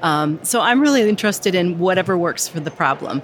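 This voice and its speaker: A woman's fairly low voice with an American accent, over noticeable background noise. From US. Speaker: instructional designer. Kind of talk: casual interview. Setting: recorded live at a conference.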